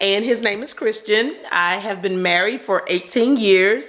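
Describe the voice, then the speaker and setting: A woman speaks in a Southern US accent at a fairly slow pace with ordinary pitch variation. Noticeable background noise is present. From North Carolina. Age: 40s. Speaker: stay-at-home mom vlogger. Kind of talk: casual chat.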